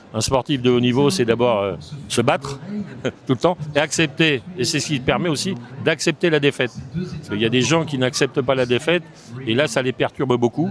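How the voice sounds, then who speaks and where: Someone talks at a fairly quick pace with ordinary pitch variation and long, frequent pauses, amid noticeable background noise. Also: man, medium pitch for a man. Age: 70s. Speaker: business association president, former top athlete. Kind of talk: podcast interview.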